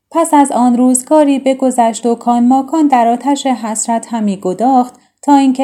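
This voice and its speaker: A woman speaks in a high pitch with a dark, mellow tone. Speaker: storyteller narrating classic tales. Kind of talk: reading aloud.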